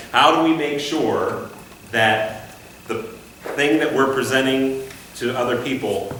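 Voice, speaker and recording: There is audible room echo and noticeable background noise. Through it, a man talks at a medium pitch. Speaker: conducting instructor. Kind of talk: class discussion. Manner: conversational.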